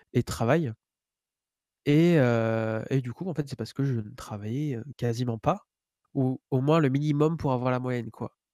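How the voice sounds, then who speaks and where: A man's dark, mellow voice, fairly slow with fairly even intonation and long, frequent pauses, in a very clean recording with a silent background. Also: dry, close sound with no echo. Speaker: podcast host. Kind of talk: casual chat.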